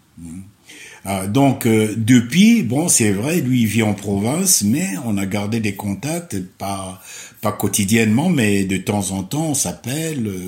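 A very slow, somewhat breathy male voice with lively intonation. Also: fairly low pitch for a man. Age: 70s. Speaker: retiree. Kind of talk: interview. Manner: halting.

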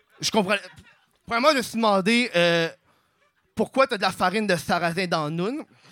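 A man's high, bright, sharp voice at a fairly quick pace, with ordinary pitch variation and long, frequent pauses. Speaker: comedian. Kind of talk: stand-up.

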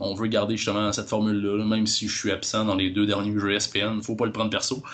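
A man's voice pitched fairly low. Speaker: podcaster. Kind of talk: casual chat.

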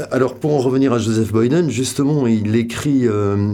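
Amid noticeable background noise, a man with medium pitch and ordinary pitch variation talks at a moderate pace. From French Basque Country. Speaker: photographer. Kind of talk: interview. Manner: halting, many repetitions and hesitations.

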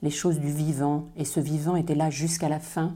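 Speaking at a fairly slow pace, a woman has a very deep, low pitch, a dark, mellow tone and a monotone, flat intonation. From southwest France. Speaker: calligrapher. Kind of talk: interview.

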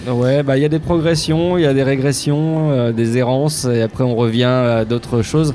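Noticeable background noise sits behind a man talking at a medium pitch with ordinary pitch variation. His loudness stays very even, with hardly any pauses. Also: moderate pace. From Picardie, northern France. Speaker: comic artist. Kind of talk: interview.

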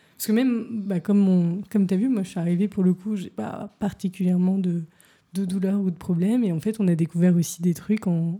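A woman speaks at a fairly quick pace in a medium-pitched, somewhat breathy voice with a dark, mellow tone and fairly even intonation. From Paris. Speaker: podcast host and coach. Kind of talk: casual interview.

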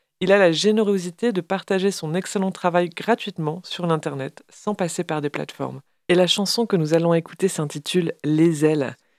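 A woman's fairly low voice, a normal speaking voice, at a moderate pace with ordinary pitch variation, hardly any pauses, and a dry, close sound with no echo. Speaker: radio host. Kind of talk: radio show presenting music and poetry.

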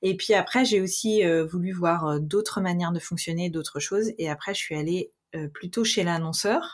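Here a woman speaks at a moderate pace. Her pitch is medium, with ordinary pitch variation. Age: 30s. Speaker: freelance social media manager. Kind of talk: interview. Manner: hesitant, many fillers.

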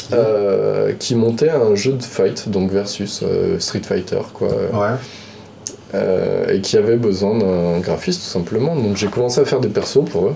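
This man speaks fairly slowly at medium pitch with lively intonation. Noticeable background noise and audible room echo fill the recording. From France, Lyon. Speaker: video game artist. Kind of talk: casual chat.

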